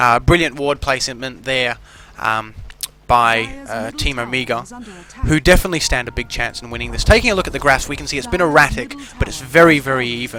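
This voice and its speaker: Fairly quick speech with big swings in loudness, ordinary pitch variation and noticeable background noise. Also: man, medium pitch for a man. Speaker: esports caster. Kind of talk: video game commentary.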